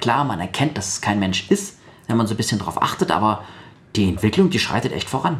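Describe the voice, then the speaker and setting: A man with a fairly low pitch and a somewhat breathy voice speaks with lively intonation. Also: fairly quick pace. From Baden-Württemberg, Sindelfingen. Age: 30s. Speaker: blind guest, trained voice speaker. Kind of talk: radio interview.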